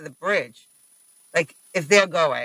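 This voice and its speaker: A man speaks in a raised, projected voice with a bright, sharp tone. His moderate pace comes through a dry, close sound with no echo. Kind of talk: casual chat.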